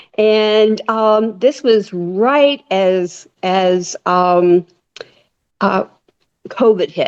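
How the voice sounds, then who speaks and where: Speaking very slowly with long, frequent pauses, a woman uses a fairly high pitch and ordinary pitch variation. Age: 70s. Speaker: retired nurse and caregiver advocate. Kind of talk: casual interview chat. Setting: podcast interview. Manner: halting, many fillers and restarts.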